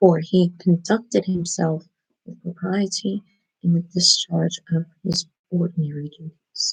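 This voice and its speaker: A woman with an American accent speaks quietly at a fairly low pitch and fairly slow pace, her voice somewhat breathy with fairly even intonation. Her loudness swings widely, and the sound is dry and close with no echo. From United States (Baltimore, Maryland). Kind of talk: ASMR book reading, quiet bedtime reading. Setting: small bedroom, laptop mic, poor sound quality. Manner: quiet, hushed, low voice.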